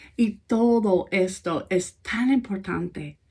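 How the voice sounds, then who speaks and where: A woman's fairly high voice with an American accent. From United States. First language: English (speaking Spanish). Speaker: pastor. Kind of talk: sermon.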